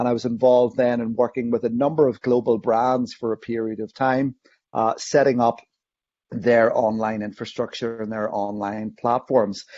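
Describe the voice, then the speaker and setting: A man with a Northern Irish accent speaks at a medium pitch and moderate pace. His intonation is monotone and flat. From Northern Ireland. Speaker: online safety educator. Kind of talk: interview.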